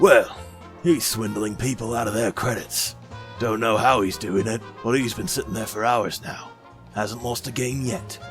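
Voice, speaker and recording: A man performs a put-on character voice at a medium pitch and a moderate pace. Clear music can be heard behind him. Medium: audio drama. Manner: gruff, blunt.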